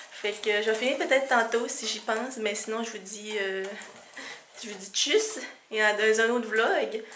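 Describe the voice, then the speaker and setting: Over noticeable background noise and audible room echo, a woman with a fairly high pitch speaks slowly with fairly even intonation, big swings in loudness, and long, frequent pauses. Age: 20s. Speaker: vlogger. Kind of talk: casual vlog.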